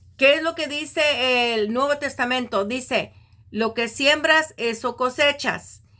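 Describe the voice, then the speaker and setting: The recording is very clean with a silent background, carrying a woman's raised, projected voice with a bright, sharp tone. She speaks at a very slow pace in a high pitch with ordinary pitch variation. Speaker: Bible teacher. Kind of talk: religious teaching. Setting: recorded video.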